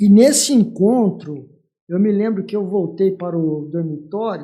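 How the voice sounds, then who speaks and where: This man's voice sits high in pitch with a dark, mellow tone, ordinary pitch variation and a fairly slow pace. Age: 60s. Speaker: church leader, pastor. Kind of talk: testimony.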